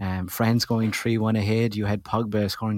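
This man speaks with an Irish accent and a fairly low pitch. His intonation is flat and monotone. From Ireland. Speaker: football podcast host. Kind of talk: casual chat.

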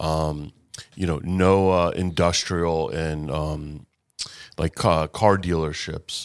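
Over a silent background in a very clean recording, a man with an American accent speaks very slowly in a very deep, low, monotone, flat voice. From Boca Raton, Florida. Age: 40s. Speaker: radio show host. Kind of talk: interview. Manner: halting, many fillers.

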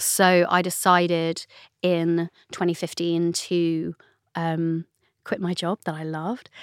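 In a London accent, a woman with a fairly low pitch speaks in a monotone, flat intonation, in a very clean recording with a silent background and a dry, close sound with no echo. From North London, England. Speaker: novelist. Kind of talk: casual interview chat.

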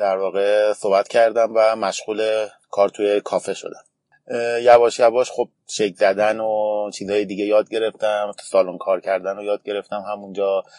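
Recorded with a dry, close sound and no echo, a man speaks at a moderate pace in a fairly low pitch with monotone, flat intonation. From Iran, Tehran. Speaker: barista champion. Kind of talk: interview.

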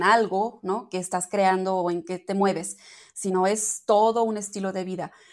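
The background is quiet. A woman speaks in a medium pitch at a fairly slow pace. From Germany. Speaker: entrepreneur of natural personal care products. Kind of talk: interview. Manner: halting.

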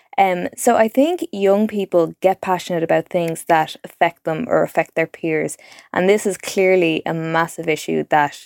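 A woman with a Dublin accent, fairly low pitch, ordinary pitch variation and moderate pace, in a dry, close sound with no echo. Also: very clean recording, silent background. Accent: Dublin Irish. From Dublin, Ireland. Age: 20s. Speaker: journalist. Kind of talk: interview.

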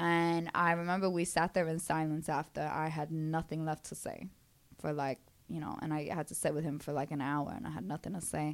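Speaking at a fairly quick pace in a Brooklyn accent, a woman has a very deep, low voice and fairly even intonation. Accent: Brooklyn New York. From Brooklyn, New York. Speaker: mental health and wellness speaker. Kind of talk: casual interview chat.

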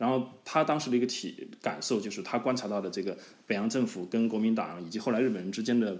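A man with a medium-pitched voice talks at a very fast pace, his pitch varying in an ordinary way. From China (Hubei). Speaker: podcast co-host, app founder. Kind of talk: casual chat. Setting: remote call. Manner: halting, many fillers.

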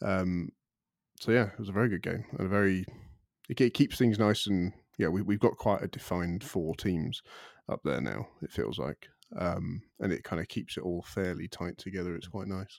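The background is silent on this very clean recording. Vocal fry can be heard in the voice. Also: man, very deep, low pitch for a man, ordinary pitch variation, moderate pace. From Ireland. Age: 20s. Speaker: football podcast panelist. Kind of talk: casual chat.

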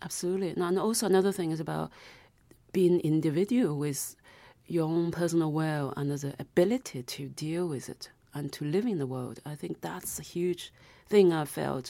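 With a Chinese accent, a woman speaks at a fairly quick pace and a fairly low pitch, with ordinary pitch variation and big swings in loudness, on a very clean recording with a silent background. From South China. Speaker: novelist. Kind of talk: interview.

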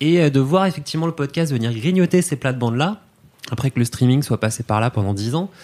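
Fairly high male pitch, a plain, everyday voice, lively intonation and a fairly quick pace. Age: 30s. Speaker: podcast company content director. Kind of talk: casual chat.

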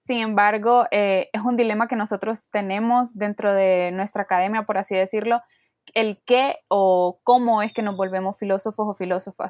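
The sound is dry and close with no echo as a woman talks at a moderate pace with fairly even intonation. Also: medium pitch for a woman. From Honduras. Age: 20s. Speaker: philosophy student and activist. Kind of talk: casual interview.

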